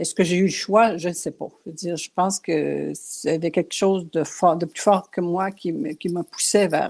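A woman's fairly low voice with vocal fry, at a fairly slow pace with hardly any pauses. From Quebec, Abitibi region. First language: Cree and Anishinaabe (speaking French). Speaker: painter and writer. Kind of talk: interview.

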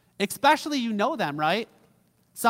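In a very clean recording with a silent background, a man speaks fairly quickly in a raised, projected voice with a bright, sharp tone. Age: 30s. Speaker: pastor. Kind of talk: sermon. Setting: church. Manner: casual, conversational.

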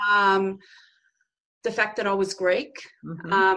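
The voice has a bright, sharp tone and an Australian accent. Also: woman. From Australia, Darwin (Northern Territory). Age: 40s. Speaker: women's counsellor and show host. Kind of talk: interview conversation.

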